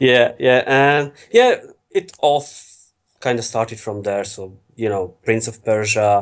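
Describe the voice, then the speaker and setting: A man with an Eastern European accent at medium pitch, very slow, with big swings in loudness. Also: ordinary pitch variation. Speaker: FMV games enthusiast. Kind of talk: podcast interview.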